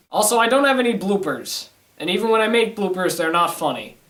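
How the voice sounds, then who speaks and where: A man at a fairly quick pace. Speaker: online video reviewer. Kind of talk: casual to-camera monologue. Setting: home studio, to camera.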